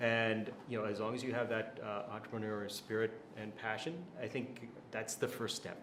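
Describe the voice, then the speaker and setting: Over noticeable background noise and audible room echo, a man speaks at a fairly quick pace with monotone, flat intonation. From USA. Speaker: venture capital investor. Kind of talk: interview.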